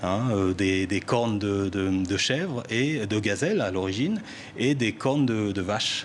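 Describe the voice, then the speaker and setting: With a strong Parisian accent, a man speaks at a fairly low pitch. His pace is fairly slow and his pitch variation ordinary. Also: very even loudness. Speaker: musician. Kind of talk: TV interview. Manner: hesitant, many fillers and repetitions.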